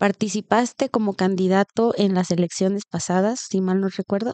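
A woman speaks with a Mexican accent at a moderate pace, her tone dark and mellow. The sound is dry with no echo, and the background is quiet. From Mexico. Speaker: podcast co-host. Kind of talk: interview. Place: home room. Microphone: studio mic.

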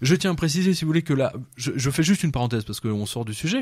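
The man's voice is somewhat breathy, with lively intonation. It comes through on a very clean recording against a silent background. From France, of Serbian descent. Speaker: journalist and essayist. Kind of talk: radio interview. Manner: halting, many repetitions.

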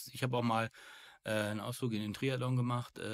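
The recording is very clean, with a silent background and a dry, close sound with no echo. A man speaks at medium pitch. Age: 50s. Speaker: burnout speaker, former insurance worker. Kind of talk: interview. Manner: hesitant, many fillers.

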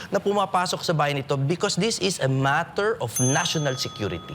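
A man speaks at a moderate pace, his pitch swinging very widely, with noticeable background noise behind him. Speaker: lawyer and political candidate. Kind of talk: political forum. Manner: formal.

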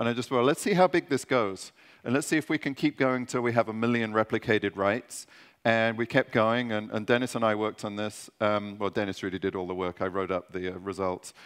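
Speaking at a fairly quick pace with ordinary pitch variation, this is an unremarkable speaking voice against a quiet background. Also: man, fairly low pitch for a man. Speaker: conference presenter. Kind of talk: technical conference talk. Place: stage.

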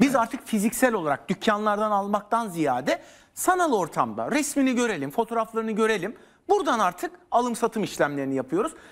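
The speaker moves at a fairly quick pace with very wide pitch swings against a quiet background. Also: man. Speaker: news guest. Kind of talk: interview answer. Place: studio. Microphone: lapel.

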